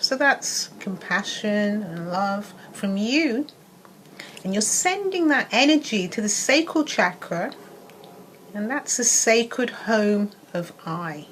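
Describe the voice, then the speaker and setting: Very slow speech with lively intonation comes through noticeable background noise. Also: woman, fairly high pitch for a woman. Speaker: wellness coach. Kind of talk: casual talk to camera; guided meditation. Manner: soft-spoken.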